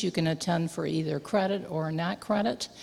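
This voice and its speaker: The voice moves at a moderate pace. It sounds somewhat breathy. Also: woman. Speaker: missionary. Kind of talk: missionary report to a congregation. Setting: church.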